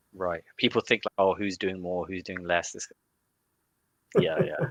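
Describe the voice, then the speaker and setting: Speaking fairly slowly with an English accent, a man shifts greatly in loudness, and the sound is dry and close with no echo. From UK, Indian family. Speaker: growth marketer. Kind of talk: interview conversation. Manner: halting, many restarts.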